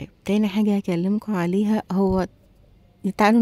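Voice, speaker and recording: A quiet woman with an Egyptian accent speaks at a moderate pace in a medium pitch, with a dark, mellow tone, monotone, flat intonation, and a dry, close sound with no echo. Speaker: beauty and shopping vlogger. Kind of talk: product review vlog. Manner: quiet voice; chatty, conversational.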